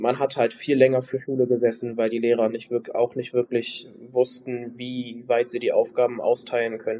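This man talks in a flat monotone, with hardly any pauses. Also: medium pitch for a man, moderate pace. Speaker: trainee. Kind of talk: recorded testimony.

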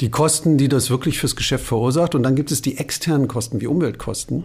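The speech moves at a moderate pace with ordinary pitch variation. The voice is somewhat breathy. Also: man. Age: 50s. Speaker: bank sustainability executive, former journalist. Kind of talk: interview conversation.

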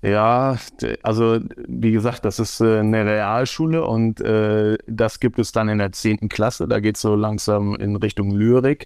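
The voice moves at a very slow pace with very even loudness and fairly even intonation. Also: man, fairly low pitch for a man. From Germany, Osnabrück. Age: 40s. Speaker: football referee and teacher. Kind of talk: interview conversation.

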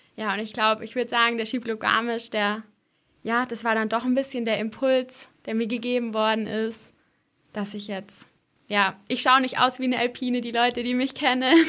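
Delivered at a moderate pace in a flat monotone, the bright, sharp voice sits on a very clean recording with a silent background. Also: woman, fairly high pitch for a woman. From Swabian Jura, Baden-Württemberg (near Heidenheim). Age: young. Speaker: ski mountaineering athlete. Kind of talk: interview.

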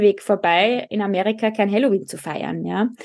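The background is quiet. A woman speaks at a moderate pace with an Austrian accent. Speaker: speech therapist. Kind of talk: casual chat.

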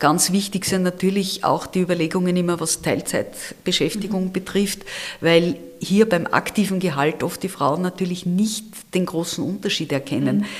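A woman with an ordinary speaking voice talks at a medium pitch and a moderate pace, with fairly even intonation. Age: 60s. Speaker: campaign leader and retired auditor. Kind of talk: interview.

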